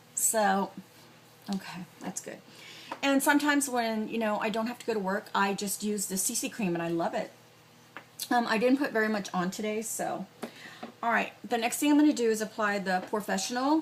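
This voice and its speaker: There is noticeable background noise behind this woman. She speaks at a fairly high pitch with long, frequent pauses. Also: ordinary pitch variation. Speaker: beauty vlogger and cosmetics store worker. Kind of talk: makeup tutorial. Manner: casual, hesitant with fillers.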